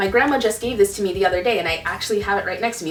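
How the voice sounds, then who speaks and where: A woman with an American accent speaks at a medium pitch with lively intonation. Music plays in the background, and the room echo is audible. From Connecticut, US. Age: 20s. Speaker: YouTuber. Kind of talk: Q&A vlog. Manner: animated.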